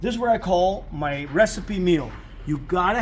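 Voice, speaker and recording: A man talks with ordinary pitch variation while noticeable background noise can be heard. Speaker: car mechanic. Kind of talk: tutorial. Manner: fast.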